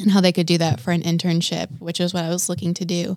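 With an American accent and an ordinary speaking voice, a woman speaks at medium pitch and a fairly quick pace in a very clean recording with a silent background and a dry, close sound with no echo. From Wisconsin. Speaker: youth and children's ministry coordinator. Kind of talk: interview. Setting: studio.

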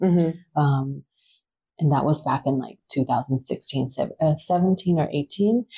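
Very deep and low in pitch, a woman speaks very slowly in a dark, mellow, somewhat breathy tone with ordinary pitch variation and very even loudness. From Taiwan, New Zealand and Australia. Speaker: publicist. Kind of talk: casual chat. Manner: hesitant with fillers.

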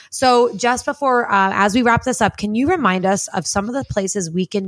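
Speaking at a fairly quick pace, a woman uses a normal speaking voice at a medium pitch with an American accent. Her intonation is lively. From New Jersey. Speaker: podcast host. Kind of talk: casual chat.

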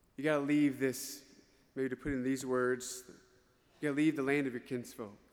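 In a Southern US accent, a man speaks at a medium pitch with monotone, flat intonation. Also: moderate pace. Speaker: priest giving homily. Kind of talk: homily. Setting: church. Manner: emphatic, repetitive.

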